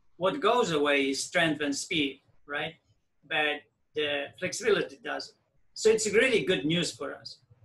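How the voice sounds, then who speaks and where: A man's fairly high, bright, sharp voice at a fairly slow pace. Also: big swings in loudness. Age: 60s. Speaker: fitness program creator and coach. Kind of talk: advice call Q&A.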